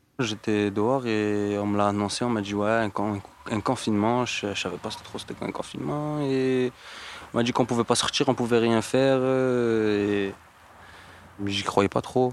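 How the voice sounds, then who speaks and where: At a moderate pace and medium pitch, a man speaks with fairly even intonation, broken by long, frequent pauses. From Montpellier, southern France. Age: 20s. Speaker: unemployed young man. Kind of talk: casual interview. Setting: outdoors.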